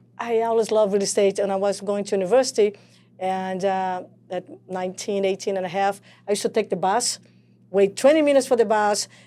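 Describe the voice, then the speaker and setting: A woman's dark, mellow voice at medium pitch in a Portuguese accent, fairly quick in pace, on a very clean recording with a silent background. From Brazil. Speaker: real estate coach. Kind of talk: podcast interview. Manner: animated.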